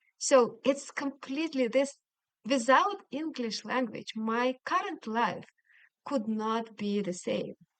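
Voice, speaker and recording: Very slow in pace, a woman with a Russian accent speaks at high pitch with lively intonation. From Siberia, Russia. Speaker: language coach. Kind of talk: interview.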